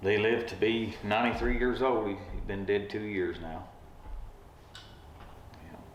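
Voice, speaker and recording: In an Appalachian accent, the speaker goes at a fairly slow pace with fairly even intonation and long, frequent pauses, against noticeable background noise. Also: man, fairly low pitch for a man. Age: 50s. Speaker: retired railroad track worker. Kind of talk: interview answer.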